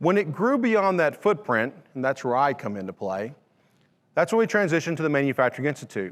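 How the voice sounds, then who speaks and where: A man talks very fast with a Louisiana accent. His pitch sits fairly high and swings very widely. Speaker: manufacturing education director. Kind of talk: conference presentation.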